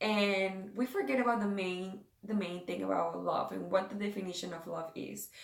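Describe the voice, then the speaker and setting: A woman's medium-pitched voice in a Spanish accent, with fairly even intonation. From South America. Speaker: devotional and beauty vlogger. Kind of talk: casual devotional talk. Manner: halting, many fillers.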